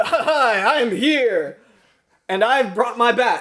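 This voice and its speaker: A man's put-on character voice, extremely high-pitched and very slow. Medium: comedy sketch. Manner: bombastic, heroic.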